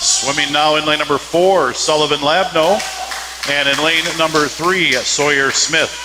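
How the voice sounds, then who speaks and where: A man with an American accent talks at a moderate pace and a fairly high pitch, with ordinary pitch variation. Background noise is noticeable. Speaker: sports announcer. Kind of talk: live commentary.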